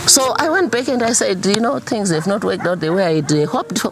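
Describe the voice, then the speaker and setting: A woman talks at a fairly quick pace, her pitch swinging very widely. Noticeable background noise runs underneath. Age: 60s. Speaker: farmer and entrepreneur. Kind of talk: interview.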